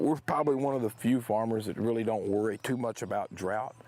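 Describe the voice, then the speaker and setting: In a Texan accent, a man with a fairly low voice talks at a very fast pace with fairly even intonation. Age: 60s. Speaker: farmer. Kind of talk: interview.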